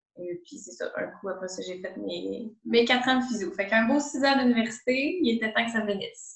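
With a Quebec accent, a woman speaks at a moderate pace and fairly high pitch, her intonation lively, her loudness swinging widely, and hardly any pauses. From Quebec, Montreal south shore. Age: 20s. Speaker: physiotherapist. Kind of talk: interview.

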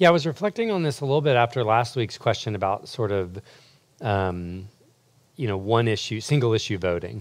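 Speaking at a fairly quick pace with lively intonation, a man with an unremarkable speaking voice and medium pitch comes through on a very clean recording with a silent background. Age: 40s. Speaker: campus ministry leader. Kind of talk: teaching talk; panel discussion.

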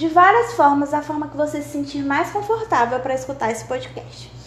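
Noticeable background noise and audible room echo behind a woman's speech. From Brazil, Maranhão. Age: 20s. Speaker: podcast host, law student. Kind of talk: casual monologue.

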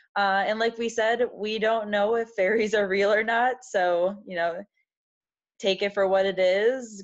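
A woman speaks in an American accent with a plain, everyday voice at a medium pitch. Her intonation is fairly even, and the background is quiet. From US Midwest, Wisconsin. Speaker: podcast co-host. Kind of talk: casual chat.

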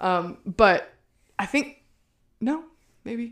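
An American accent with very wide pitch swings. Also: woman. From US South. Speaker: podcast co-host. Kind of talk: casual chat.

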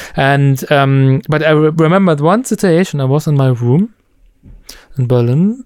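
Speaking at a moderate pace with a German accent, a man uses a fairly high pitch, ordinary pitch variation, and very even loudness. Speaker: musician. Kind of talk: casual chat.

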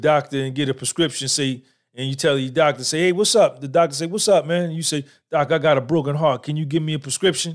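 Fairly quick and fairly even in intonation, a man talks in an ordinary speaking voice at a fairly high pitch. The recording is very clean with a silent background. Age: 50s. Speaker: podcaster. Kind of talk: live-stream monologue. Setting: live stream.

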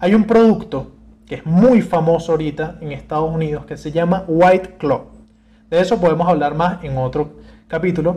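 A man speaks in a high voice with a dark, mellow tone. His pace is moderate, his pitch varies normally, and his loudness swings widely. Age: 20s. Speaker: podcast host. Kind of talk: casual solo talk.

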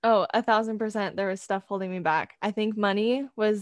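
Delivered at a fairly quick pace with a West Coast US accent, the voice is monotone and flat. The sound is dry and close with no echo, on a very clean recording with a silent background. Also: woman. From California. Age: 20s. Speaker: photographer and college student. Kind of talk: interview.

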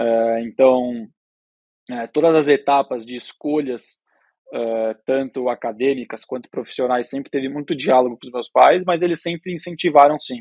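Speaking at a moderate pace, a man with a medium-pitched voice shows ordinary pitch variation and big swings in loudness. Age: 20s. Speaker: young cattle rancher and family business successor. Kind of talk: podcast interview. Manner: halting, many fillers.

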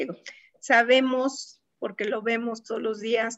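Speaking in a Mexico City accent, a woman uses a fairly high pitch at a fairly slow pace. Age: 50s. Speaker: telecommunications engineer. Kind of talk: interview conversation. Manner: hesitant with fillers.

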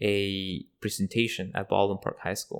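A man with a Spanish accent at a moderate pace, in a very clean recording with a silent background. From Mexico, near Mexico City, raised in Southern California from age eleven. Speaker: immigrant rights activist. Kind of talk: interview conversation.

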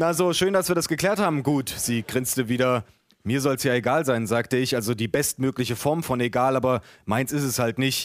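A man speaks at a medium pitch and a moderate pace, with ordinary pitch variation and very even loudness, on a very clean recording with a silent background. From eastern Germany, Dessau (Saxony-Anhalt). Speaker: author. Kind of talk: reading aloud.

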